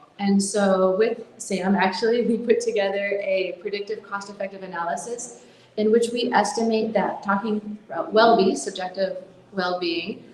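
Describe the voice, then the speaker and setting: A woman of medium pitch talks in an American accent, with audible room echo and noticeable background noise behind her. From US. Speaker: conference speaker, mental health nonprofit founder. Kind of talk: conference talk.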